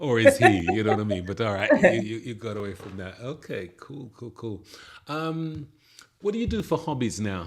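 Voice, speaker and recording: A man with an ordinary speaking voice talks at a moderate pace with lively intonation and big swings in loudness, in a very clean recording with a silent background. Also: medium pitch for a man. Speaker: podcast host. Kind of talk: podcast interview, casual conversation.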